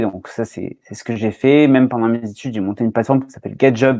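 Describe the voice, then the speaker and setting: The recording is dry and close, with no echo. A man speaks at a medium pitch with fairly even intonation. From southwest France (Landes). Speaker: recruiter and marketer. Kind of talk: podcast interview. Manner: hesitant, many fillers.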